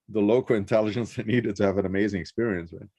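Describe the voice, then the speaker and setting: A man's fairly low voice with a Rio de Janeiro accent. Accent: Rio Brazilian. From Brazil, Rio de Janeiro. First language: Portuguese. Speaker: interviewee, traveler. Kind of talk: casual interview. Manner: hesitant, many fillers.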